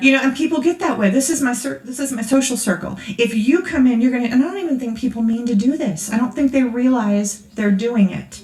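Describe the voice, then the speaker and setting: Noticeable background noise sits behind a woman with a high pitch and ordinary pitch variation. She talks at a fairly quick pace with hardly any pauses. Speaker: conference speaker. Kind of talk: sermon. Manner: fast; casual, conversational.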